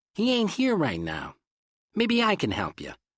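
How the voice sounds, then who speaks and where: Using a put-on character voice, a high-pitched man speaks at a moderate pace over a quiet background. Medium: read story. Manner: gruff, dismissive.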